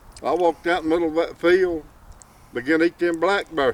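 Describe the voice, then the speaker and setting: Dry and close with no echo, a man's high-pitched voice moves at a fairly quick pace in an Appalachian accent. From Appalachian mountains. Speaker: storyteller. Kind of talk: folk tale telling.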